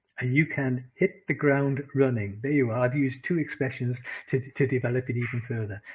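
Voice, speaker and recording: Speaking at a moderate pace, a man in a Welsh accent has medium pitch and a somewhat breathy voice. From Wales. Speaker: English teacher and business communication speaker. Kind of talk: lecture to an online class.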